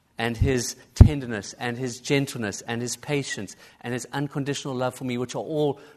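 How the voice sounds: The speaker uses a natural reading voice. The intonation stays fairly even.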